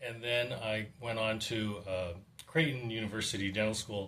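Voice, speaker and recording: With an American accent and fairly even intonation, the speaker keeps a moderate pace against noticeable background noise. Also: man. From California, Monterey Peninsula. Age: 60s. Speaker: dentist. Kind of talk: testimony. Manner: halting.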